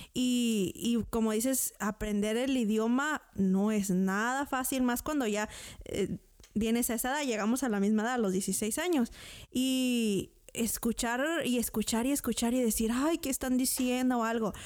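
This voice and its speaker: Over a silent background in a very clean recording, a woman talks at a fairly slow pace in a normal speaking voice. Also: fairly high pitch for a woman, ordinary pitch variation, very even loudness. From Mexico. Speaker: podcast co-host. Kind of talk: casual interview.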